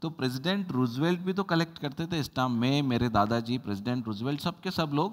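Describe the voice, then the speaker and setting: A man with a plain, everyday voice talks at a moderate pace, his pitch medium and his intonation lively. He hardly pauses, and the background is quiet. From India. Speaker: English teacher. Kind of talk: lecture. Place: classroom. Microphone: lapel.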